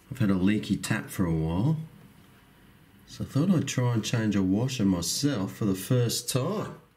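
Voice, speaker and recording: In an Australian accent, a man talks with a fairly deep voice. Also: lively intonation, moderate pace. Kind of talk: casual talk to camera. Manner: calm.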